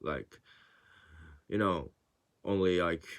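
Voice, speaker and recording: A man's very deep, low voice with vocal fry and a strong non-native accent at a fairly slow pace, on a very clean recording with a silent background. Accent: non-native English, thick. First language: not English. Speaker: language learner and vlogger. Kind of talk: casual vlog monologue. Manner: halting, many fillers.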